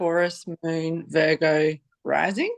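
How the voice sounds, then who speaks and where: A woman with an Australian accent speaks at a very slow pace. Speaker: divorce and boundaries coach. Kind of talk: casual introduction in group video call. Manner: halting.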